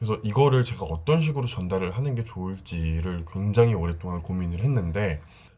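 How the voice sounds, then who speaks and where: Lively in intonation and fairly quick, a man speaks with a very deep, low pitch in a dark, mellow, somewhat breathy tone. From South Korea, with six school years in Dalian, China. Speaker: vlogger. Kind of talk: casual vlog talk to camera.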